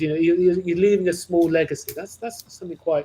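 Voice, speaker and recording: A man's dark, mellow tone is somewhat breathy and shows ordinary pitch variation. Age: 60s. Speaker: costume manufacturer. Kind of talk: interview conversation. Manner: halting.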